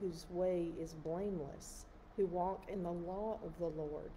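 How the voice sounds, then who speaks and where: A woman's fairly low voice, very slow and fairly even in intonation, over light background noise. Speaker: clergy or lay reader. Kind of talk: liturgical psalm reading. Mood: calm, measured, devotional. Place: church. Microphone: phone near.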